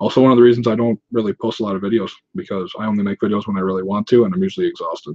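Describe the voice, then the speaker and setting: A man speaks very fast. His intonation is lively. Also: medium pitch for a man. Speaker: YouTuber, 3D printing and prop maker. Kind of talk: livestream Q&A. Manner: casual, profane.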